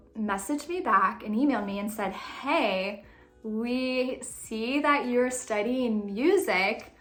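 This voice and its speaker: A woman's animated tone and lively intonation, with audible room echo and music in the background. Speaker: faith and lifestyle vlogger. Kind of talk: casual storytelling vlog. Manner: fast.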